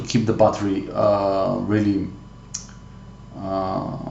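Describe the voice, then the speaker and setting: A man speaks with a non-native accent amid noticeable background noise and audible room echo. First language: not English. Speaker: tech hobbyist youtuber. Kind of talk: tutorial. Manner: halting, many fillers.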